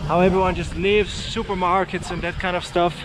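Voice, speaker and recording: Over noticeable background noise, a man with a high pitch talks in a Dutch accent. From Netherlands. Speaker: travel vlogger. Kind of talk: casual vlog talk to camera. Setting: outdoors, cycling through town. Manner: hesitant, many fillers.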